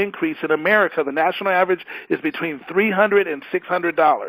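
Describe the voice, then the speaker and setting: A fairly quick pace in a dry, close sound with no echo. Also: man. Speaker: financial presenter. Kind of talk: financial presentation. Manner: fast; animated.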